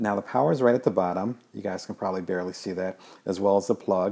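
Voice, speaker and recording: A man with an American accent and a normal speaking voice, fairly low in pitch, fairly quick, with ordinary pitch variation. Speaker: games journalist. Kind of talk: unboxing video. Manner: casual, filler-heavy.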